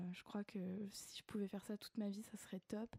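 Recorded with a dry, close sound and no echo, a woman speaks at a medium pitch with a dark, mellow tone, monotone, flat intonation and a fairly slow pace. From grew up abroad, various countries. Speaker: children's author. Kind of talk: radio interview. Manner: halting, many repetitions and hesitations.

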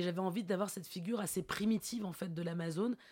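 Fairly even intonation from a woman with a dark, mellow tone. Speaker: theatre director. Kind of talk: interview. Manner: hesitant, many fillers.

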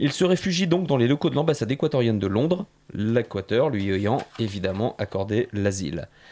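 At a moderate pace, a man speaks at medium pitch with lively intonation. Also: very clean recording, silent background. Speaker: radio columnist. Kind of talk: prepared radio portrait. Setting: radio studio. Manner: loud.

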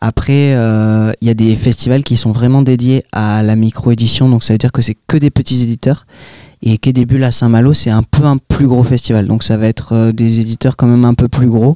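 A man speaks at a medium pitch in a dark, mellow tone, his intonation monotone and flat, with a dry, close sound and no echo. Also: moderate pace, very even loudness. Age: young. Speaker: comic book author. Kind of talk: interview. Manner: hesitant, many filler sounds.

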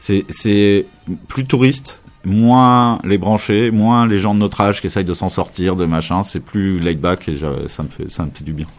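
At a fairly slow pace, a man speaks in an ordinary speaking voice with a fairly low pitch and ordinary pitch variation. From Paris, France. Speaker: radio host and DJ. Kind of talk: casual interview chat.

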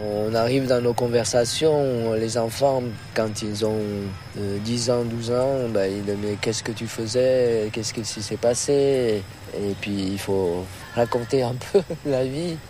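A man's medium-pitched voice in a Vietnamese accent, very slow and fairly even in intonation, with audible room echo and noticeable background noise. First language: Vietnamese (speaking French). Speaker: immigrant interviewee. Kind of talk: testimony.

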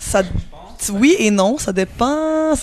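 A woman is speaking. She has a Quebec accent. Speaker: musician. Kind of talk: interview. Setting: music festival.

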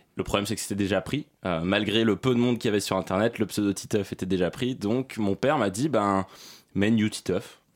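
Heard in a very clean recording with a silent background, a man speaks at a moderate pace in a fairly low pitch. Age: 20s. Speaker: YouTuber. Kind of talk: interview. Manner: halting.

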